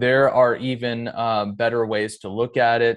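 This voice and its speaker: A man at a medium pitch and fairly slow pace, with monotone, flat intonation. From US Pacific Northwest (Edmonds, Washington). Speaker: pastor and former bank manager. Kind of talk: casual interview.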